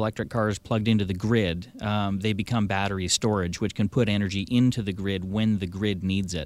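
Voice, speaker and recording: A man in a normal speaking voice, fairly low in pitch, at a fairly quick pace with hardly any pauses, in a very clean recording with a silent background. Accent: Canadian. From Victoria, British Columbia, Canada. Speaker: electric vehicle dealer. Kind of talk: radio interview. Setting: studio.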